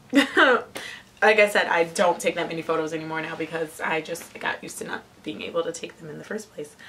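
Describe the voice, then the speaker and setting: A woman with an American accent talks at a fairly quick pace, with ordinary pitch variation, big swings in loudness and noticeable background noise. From Ohio, Cleveland area. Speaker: lifestyle vlogger. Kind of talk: casual vlog. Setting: home attic. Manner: casual, filler-heavy.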